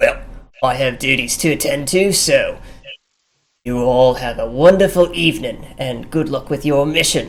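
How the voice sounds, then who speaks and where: A man's put-on character voice, fairly high-pitched, with ordinary pitch variation. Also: moderate pace. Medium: actual play. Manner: courteous, formal.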